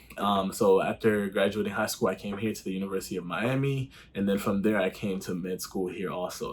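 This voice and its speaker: Against noticeable background noise, a man talks at a fairly quick pace in an animated tone. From Haiti. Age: 20s. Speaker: medical student vlogger. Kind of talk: casual vlog Q and A. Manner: casual, animated.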